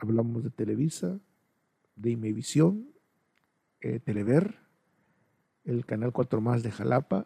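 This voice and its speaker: With vocal fry and a dark, mellow tone, a man speaks at medium pitch and a moderate pace. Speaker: podcaster, videographer. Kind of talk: personal monologue. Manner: hesitant.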